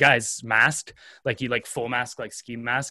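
Against a quiet background, a man speaks with a bright, sharp tone and flat, monotone intonation. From Canada. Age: 20s. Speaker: content creator and videographer. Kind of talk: casual interview chat.

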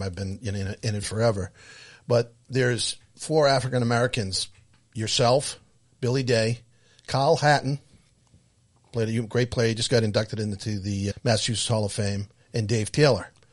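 A man with a medium pitch and a somewhat breathy voice speaks at a fairly quick pace with fairly even intonation. He leaves long, frequent pauses against a quiet background. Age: 60s. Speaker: podcast co-host. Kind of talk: casual chat.

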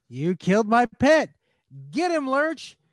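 In a put-on character voice, a man talks at an extremely high pitch. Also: fairly slow pace, quiet background. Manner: grunting, exaggerated.

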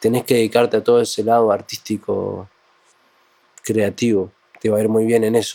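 A man speaks with a Uruguayan accent. His pace is fairly quick. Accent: Uruguayan Spanish (rioplatense). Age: 20s. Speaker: cumbia music producer and songwriter. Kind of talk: casual interview chat.

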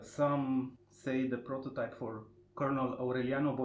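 At a moderate pace, a man speaks with a Romanian accent in a medium pitch. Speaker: podcast host. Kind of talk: interview. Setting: literary festival.

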